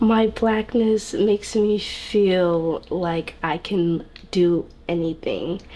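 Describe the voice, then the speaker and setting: With an American accent, a woman talks at a very slow pace. Her pitch is medium and her intonation fairly even. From US South. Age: 20s. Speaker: student and hairstylist. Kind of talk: interview. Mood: warm, smiling, confident. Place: home room.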